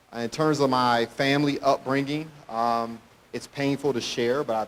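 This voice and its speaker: Medium in pitch, a man speaks with fairly even intonation. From Detroit area, Michigan. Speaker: motivational speaker. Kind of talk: motivational talk. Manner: fast.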